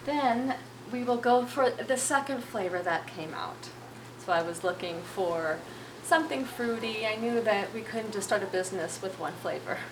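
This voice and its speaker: A soft-spoken woman's fairly high voice at a moderate pace, with noticeable background noise and audible room echo. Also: lively intonation. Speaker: fermented food producer and author. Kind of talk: interview.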